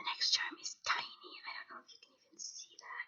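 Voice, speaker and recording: A woman is speaking. She whispers. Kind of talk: ASMR show and tell, casual talk to camera. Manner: whispered, soft-spoken.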